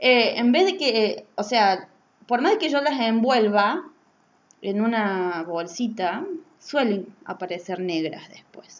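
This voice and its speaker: A woman talks very slowly at a fairly high pitch. Her pitch swings very widely and her loudness rises and falls sharply. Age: 20s. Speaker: podcaster. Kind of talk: casual monologue. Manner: halting.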